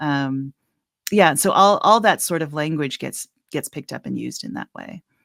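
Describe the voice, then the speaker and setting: A woman speaks at a very deep, low pitch with vocal fry and a moderate pace. Her pitch swings very widely and her loudness swings a lot, in a dry, close sound with no echo. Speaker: author and scholar. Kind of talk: interview answer.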